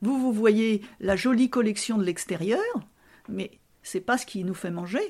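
The speech moves at a very slow pace with long, frequent pauses. Pitch varies in an ordinary way, and the voice is somewhat breathy. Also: woman, fairly high pitch for a woman. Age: 70s. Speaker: retired fashion seamstress. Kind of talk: casual interview, reminiscing. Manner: hesitant, many fillers.

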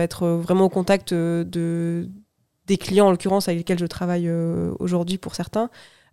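Over a very clean recording with a silent background, a woman's fairly low voice carries a dark, mellow tone. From Toulouse, southwest France. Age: 30s. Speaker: sales manager. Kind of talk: interview.

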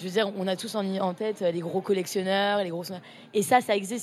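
In a plain, everyday voice, a woman speaks at a medium pitch and a fairly quick pace. The intonation is fairly even. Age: 20s. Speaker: art student, association co-founder. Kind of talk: casual interview.

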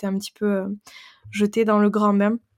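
A woman speaks at a medium pitch and moderate pace in a monotone, flat intonation, recorded very cleanly against a silent background with a dry, close sound and no echo. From French Pyrenees. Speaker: women's empowerment coach. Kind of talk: interview.

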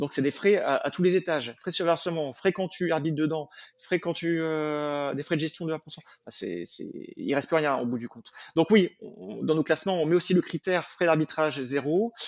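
Over a quiet background, a man with a fairly high pitch and ordinary pitch variation uses an ordinary speaking voice. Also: moderate pace. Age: 30s. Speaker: personal finance expert. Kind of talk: interview.

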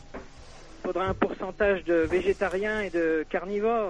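Flat and monotone, a man's high-pitched voice carries on without melodic change. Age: 30s. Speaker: caller. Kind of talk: call-in debate.

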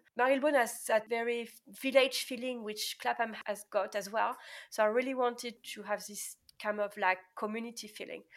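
On a very clean recording with a silent background, a woman with a French accent speaks at a moderate pace and fairly high pitch. Her intonation is fairly even, but her loudness swings a lot. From France. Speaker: pharmacist. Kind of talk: interview.

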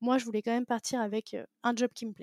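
A woman talks fairly quickly, her pitch fairly high. The sound is dry and close, with no echo. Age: 20s. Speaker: podcast host, digital marketer. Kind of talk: interview, casual chat. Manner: halting, many fillers; animated.

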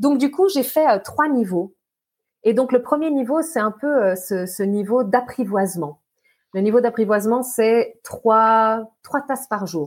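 This very clean recording has a silent background. A woman speaks very slowly, her intonation lively. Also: fairly high pitch for a woman. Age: 40s. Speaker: hydration and mindset coach. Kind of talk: podcast interview.

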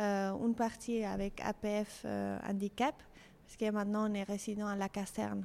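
In a Spanish accent, a woman speaks at a medium pitch. Her pace is very slow. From Mexico City. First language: Spanish (speaking French). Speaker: fashion designer. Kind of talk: interview. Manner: halting.

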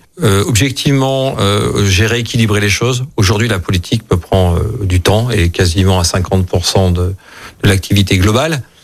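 A normal speaking voice talks at a fairly slow pace, with ordinary pitch variation and very even loudness. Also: man, fairly low pitch for a man. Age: 50s. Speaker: local politician. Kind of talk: radio interview.

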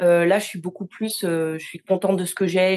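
This woman's voice is medium in pitch and moderate in pace. The intonation stays monotone and flat. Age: 30s. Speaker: quality engineer, coaching client. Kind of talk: testimonial interview. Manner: halting, with repetitions and fillers.

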